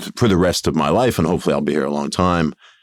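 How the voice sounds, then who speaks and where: In an American accent, a man with a very deep, low pitch, vocal fry and ordinary pitch variation is heard in a very clean, silent recording with a dry, close sound and no echo. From New York, US. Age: 50s. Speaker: tech company founder and CEO. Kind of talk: podcast interview.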